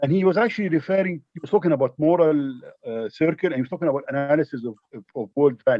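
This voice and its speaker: A man's fairly high voice, very fast pace and lively intonation. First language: not English. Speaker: audience member asking a question. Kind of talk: Q&A question. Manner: halting.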